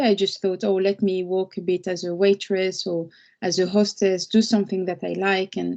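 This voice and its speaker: In a French accent, a woman speaks with a dark, mellow tone. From France. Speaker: lawyer. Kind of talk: webinar talk. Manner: halting, with fillers and repeats.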